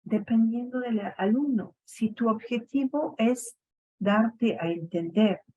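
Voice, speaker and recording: At a very slow pace, this somewhat breathy voice speaks in a French Canadian accent with ordinary pitch variation. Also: woman. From Quebec, Montreal. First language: French (speaking Spanish). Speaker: education academic. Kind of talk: radio interview. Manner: hesitant, many fillers.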